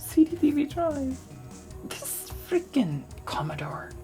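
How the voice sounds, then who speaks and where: A woman speaks in a relaxed tone, with very wide pitch swings. Music plays in the background. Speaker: retro tech YouTuber. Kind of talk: ASMR magazine flip-through talk. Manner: relaxed, soft-spoken.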